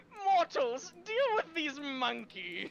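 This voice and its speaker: A high-pitched, put-on character voice. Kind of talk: commanding, declamatory. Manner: funny, exaggerated.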